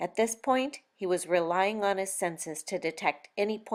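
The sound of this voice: Quiet surroundings, ordinary pitch variation, and an unforced reading voice.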